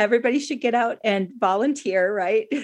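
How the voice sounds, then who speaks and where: A woman's normal speaking voice, fairly high in pitch, with ordinary pitch variation. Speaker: radio host. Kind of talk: interview.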